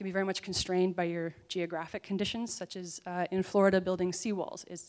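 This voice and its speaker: Over a quiet background, a woman with an American accent talks at a very fast pace in a medium pitch. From US Midwest, Minnesota. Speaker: PhD student and lawyer presenting research. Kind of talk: conference presentation. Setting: conference stage with audience. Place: hall. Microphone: handheld.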